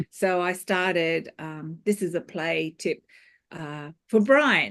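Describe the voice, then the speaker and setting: Over a quiet background, a woman speaks at medium pitch with ordinary pitch variation. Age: 60s. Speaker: fitness class instructor. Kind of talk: group discussion. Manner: halting.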